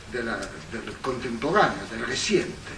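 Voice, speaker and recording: Amid noticeable background noise, a man speaks with an Italian accent. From Italy. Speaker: historian, professor. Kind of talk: academic lecture. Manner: hesitant, many fillers.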